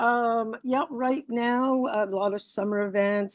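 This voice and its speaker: A woman with a French-Canadian accent talks over a quiet background. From Morocco. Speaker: PR agency owner. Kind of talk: interview.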